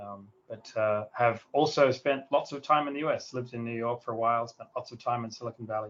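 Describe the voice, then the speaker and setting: A man with an Australian accent talks at a fairly quick pace and a medium pitch, barely pausing, his intonation fairly even while his loudness swings widely. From South Australia, near Adelaide. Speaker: tech company founder. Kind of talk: interview.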